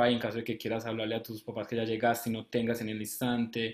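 The intonation is monotone and flat. Room echo is audible against a quiet background. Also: man. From Colombia. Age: 20s. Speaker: medical student. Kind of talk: live interview. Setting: live stream. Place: home room. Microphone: webcam.

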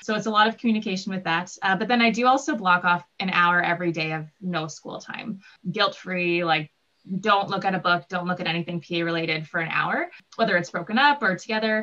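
A woman with a Canadian Prairie accent, fairly quick pace and ordinary pitch variation. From southern Manitoba. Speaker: physician assistant student. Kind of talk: Q&A panel answers. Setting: live online Q&A. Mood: friendly, relaxed. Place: home room. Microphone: video call.

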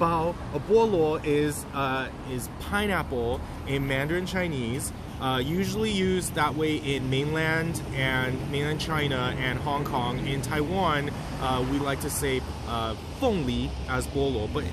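Over loud background noise, a man speaks at a fairly slow pace with ordinary pitch variation, the sound dry with no echo. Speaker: food tour guide. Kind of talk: casual vlog chat. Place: street. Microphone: phone near.

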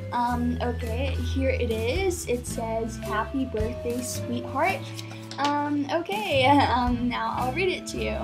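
Clear music plays in the background. A woman speaks at a very slow pace. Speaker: vlogger. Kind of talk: casual talk to camera. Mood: playful mock-sentimental. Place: home room. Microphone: webcam.

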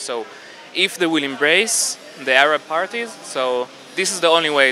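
Recorded with a dry sound and no echo, a man speaks with ordinary pitch variation over light background noise. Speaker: interviewee. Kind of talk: interview answer. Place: market. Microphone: handheld.

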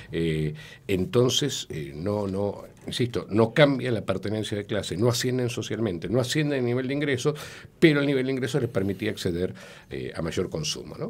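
Vocal fry colors a man's speech. He talks at a moderate pace with lively intonation. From Argentina. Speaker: sociologist; guest. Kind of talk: radio interview. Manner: hesitant, many filler sounds. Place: studio. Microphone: studio mic.

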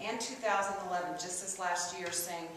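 A woman speaks at a fairly low pitch. Strong room echo and light background noise surround her voice. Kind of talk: press conference answers. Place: hall. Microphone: camera far.

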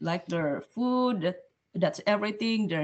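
This woman speaks with a Filipino accent and ordinary pitch variation. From Philippines. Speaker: student, restaurant personal assistant. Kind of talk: casual chat. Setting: video call. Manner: cheerful. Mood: friendly, upbeat. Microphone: video call.

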